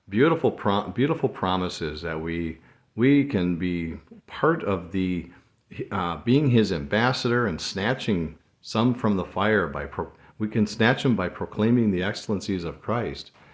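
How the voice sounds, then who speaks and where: Against a quiet background, a man talks at a fairly slow pace in a fairly low pitch with lively intonation. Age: 60s. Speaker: devotional podcast host. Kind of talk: devotional monologue. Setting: solo recording. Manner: halting, many fillers.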